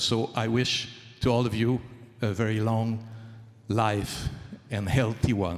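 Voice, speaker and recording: Speaking at a fairly slow pace in a French Canadian accent, a man keeps a medium pitch and fairly even intonation. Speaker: traditional Chinese medicine doctor and author. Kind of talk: award acceptance speech. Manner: halting.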